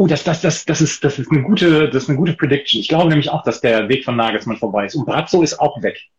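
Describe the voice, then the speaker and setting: A man talks at a very fast pace with hardly any pauses, his pitch fairly high. His voice is somewhat breathy, with lively intonation. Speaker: football tipping podcast host. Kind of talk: casual chat. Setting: Instagram live video stream.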